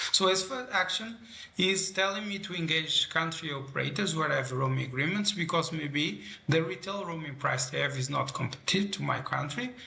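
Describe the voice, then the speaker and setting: Noticeable background noise and audible room echo around a man's fairly high voice, fairly quick and with lively intonation. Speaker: telecom product presenter. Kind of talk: product demo narration.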